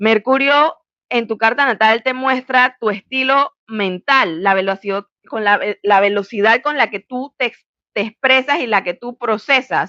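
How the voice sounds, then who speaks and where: A woman with a fairly high pitch speaks at a fairly slow pace in an animated tone, her pitch varying in an ordinary way. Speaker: astrologer. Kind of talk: educational monologue.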